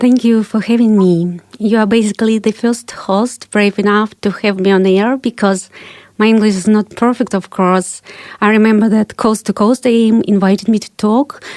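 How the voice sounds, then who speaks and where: With a Russian accent, a woman speaks at a moderate pace with a fairly high pitch, fairly even intonation, and very even loudness. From Kazakhstan, Ukraine and Russia. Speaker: investigative journalist and author. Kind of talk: interview.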